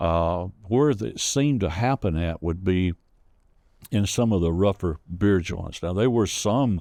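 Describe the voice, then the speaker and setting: A man with a Southern accent and a very deep, low pitch speaks at a very slow pace in a dark, mellow tone with ordinary pitch variation, on a very clean recording with a silent background and a dry, close sound with no echo. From US South, Rome, Georgia. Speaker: storyteller. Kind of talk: interview storytelling. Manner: halting.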